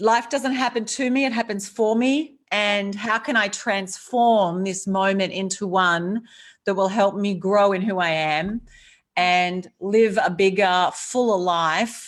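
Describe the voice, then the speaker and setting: Speaking at a very slow pace with an Australian accent, a woman keeps a medium pitch and ordinary pitch variation on a very clean recording with a silent background. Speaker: author and courage speaker. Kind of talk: interview. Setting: live video stream.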